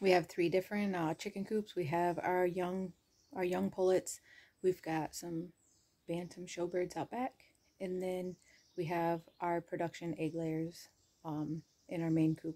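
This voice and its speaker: A woman with a fairly low pitch and a dark, mellow tone speaks at a fairly slow pace with fairly even intonation and long, frequent pauses. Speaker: homestead vlogger. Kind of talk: casual vlog chat. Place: home room. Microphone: phone near.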